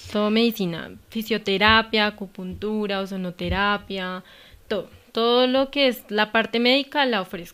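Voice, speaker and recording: Fairly high, bright and sharp, a woman's voice at a moderate pace with fairly even intonation, on a very clean recording with a silent background. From Colombia, Cundinamarca countryside (Gachetá). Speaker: veterinarian and clinic owner. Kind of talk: casual interview.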